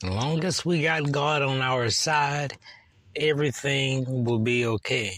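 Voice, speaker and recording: A man's medium-pitched voice at a fairly slow pace, with ordinary pitch variation, very even loudness and noticeable background noise. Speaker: preacher. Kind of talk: fervent prayer. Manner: solemn, earnest; declamatory, preacherly.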